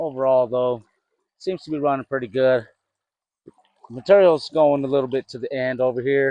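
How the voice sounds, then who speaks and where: Intonation stays fairly even as a man talks at a medium pitch. His pace is moderate, with long, frequent pauses. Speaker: gold prospecting vlogger. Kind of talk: casual outdoor vlog narration. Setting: outdoors at a creek. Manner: loud. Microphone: new clip-on mic.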